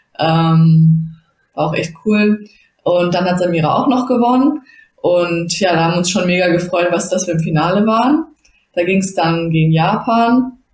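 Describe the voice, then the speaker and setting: A woman with an unremarkable speaking voice talks at a fairly low pitch and a moderate pace. Her loudness stays very even, with ordinary pitch variation. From Germany, Bottrop (Ruhr area). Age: 20s. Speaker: judoka and master's student. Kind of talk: casual interview.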